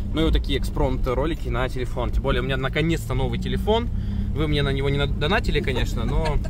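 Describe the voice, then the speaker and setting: A man talks at a very fast pace, with noticeable background noise and a dry sound with no echo. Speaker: off-road travel vlogger. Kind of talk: casual vlog chat. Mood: cheerful, joking. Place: car. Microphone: phone near.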